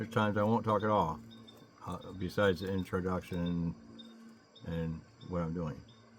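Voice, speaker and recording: A man's mumbling, very deep, low voice at a moderate pace with ordinary pitch variation and long, frequent pauses. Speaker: DIY car mechanic vlogger. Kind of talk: casual vlog talk. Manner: mumbling, low.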